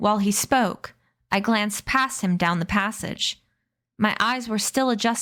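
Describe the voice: Quiet background behind plain reading aloud, with ordinary pitch variation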